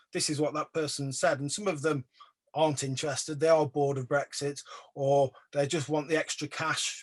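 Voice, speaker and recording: Recorded dry and close with no echo, a man with an English accent speaks fairly quickly at a fairly high pitch. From England. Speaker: artist / photographer. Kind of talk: exhibition talk Q&A. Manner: hesitant, many fillers.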